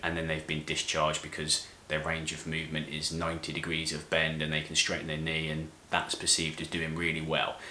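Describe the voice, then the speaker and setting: In a British accent, a man with a very deep, low voice speaks amid noticeable background noise and audible room echo. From UK. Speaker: physiotherapist. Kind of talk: tutorial. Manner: clear, explanatory.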